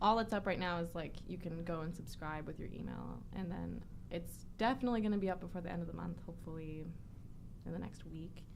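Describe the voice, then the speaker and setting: At a fairly quick pace, a woman talks amid audible room echo. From Canada. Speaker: adult model. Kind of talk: casual chat. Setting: studio.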